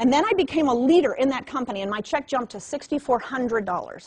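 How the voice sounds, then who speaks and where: Over noticeable background noise, a woman talks very fast in an animated tone with very wide pitch swings. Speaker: network marketing trainer. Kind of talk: motivational training talk.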